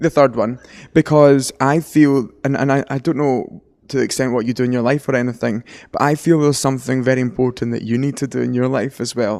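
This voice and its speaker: Very fast and in a Glasgow accent, a man speaks with ordinary pitch variation in a very clean recording with a silent background. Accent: Scottish (Glasgow area). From West of Scotland. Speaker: angel communicator and medium. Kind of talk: psychic reading.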